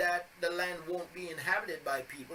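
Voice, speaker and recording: A high-pitched man's raised, projected voice over noticeable background noise. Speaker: bible teacher. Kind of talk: religious teaching video. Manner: halting with fillers.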